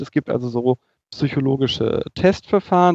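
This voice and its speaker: A man with a normal speaking voice, fairly high in pitch, with ordinary pitch variation. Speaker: podcast host, psychologist. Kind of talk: casual podcast chat. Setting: remote recording, live chat. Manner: witty, jokey.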